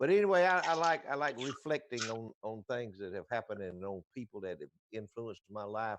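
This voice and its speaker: With a Southern US accent, a man speaks at a medium pitch over a quiet background. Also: dry, close sound with no echo. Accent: Southern US (Georgia). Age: 70s. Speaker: radio show co-host. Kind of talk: casual chat. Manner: halting, repeats words.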